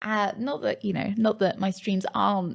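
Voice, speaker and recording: The voice sounds somewhat breathy, keeping to a fairly slow pace and fairly even intonation. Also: woman. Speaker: streamer and YouTuber. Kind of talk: scripted talk to camera. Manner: chatty, hesitant with fillers.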